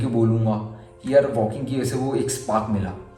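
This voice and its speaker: Over music in the background, a man speaks at a medium pitch with ordinary pitch variation, and the room echo is audible. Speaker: vlogger. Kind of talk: personal vlog.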